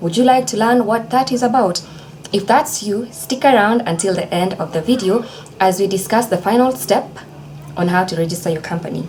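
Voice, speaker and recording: A woman talks at a fairly quick pace with lively intonation and a medium pitch. Noticeable background noise runs underneath. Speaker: legal educator, video creator. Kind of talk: tutorial. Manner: fast; casual, chatty.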